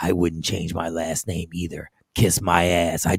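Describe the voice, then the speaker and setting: A man does a put-on character voice, very deep and raspy, speaking at a moderate pace with a menacing tone and monotone, flat intonation. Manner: gruff, menacing.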